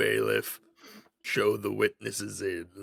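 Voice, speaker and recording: A man's raspy, put-on character voice at a fairly slow pace. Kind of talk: formal courtroom speech. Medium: game stream. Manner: stiff, formal.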